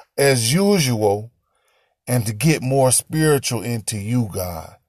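A man speaks in an animated, upbeat tone with a somewhat breathy voice on a very clean recording with a silent background. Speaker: preacher hosting a prayer show. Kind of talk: fervent prayer, spoken to God; daily devotional address. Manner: fervent, pleading, impassioned; animated, upbeat, warm.

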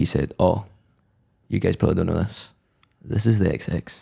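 A man's fairly low-pitched voice, dark and mellow in tone, with vocal fry. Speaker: podcast host. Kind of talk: casual chat.

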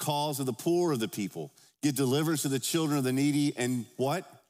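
A man talks very fast while music plays in the background. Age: 50s. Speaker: pastor. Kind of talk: Sunday sermon, expository preaching with scripture read aloud to a congregation. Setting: church service before a congregation. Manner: conversational and informal, with filler words and self-corrections; earnest, emphatic pulpit delivery with rhetorical call-and-response questions.

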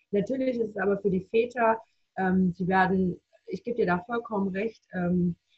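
A woman's somewhat breathy voice, medium in pitch, at a moderate pace with ordinary pitch variation. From Baden-Württemberg, near Reutlingen. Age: 30s. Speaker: bereaved mother. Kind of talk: personal testimony.

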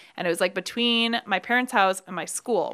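A woman with an American accent, bright and sharp in tone, with ordinary pitch variation, on a very clean recording with a silent background. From Brooklyn, New York. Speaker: bar owner. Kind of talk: casual chat.

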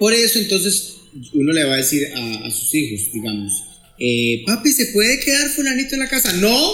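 A raised, projected voice with very wide pitch swings over noticeable background noise. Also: man, high pitch for a man, moderate pace. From Costa Rica, Pérez Zeledón. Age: middle-aged. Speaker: psychologist. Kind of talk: podcast interview.

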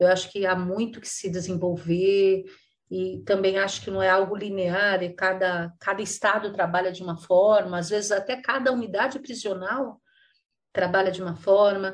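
An unremarkable speaking voice, this woman's medium pitch moves with fairly even intonation at a moderate pace, her loudness swinging widely over a quiet background. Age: 60s. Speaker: nonprofit executive director. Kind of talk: interview.

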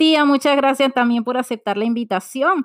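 Recorded very cleanly against a silent background with a dry, close sound and no echo, a woman talks at a fairly quick pace in a high pitch with lively intonation. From Venezuela. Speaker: podcast host. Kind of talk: scripted intro narration; interview.

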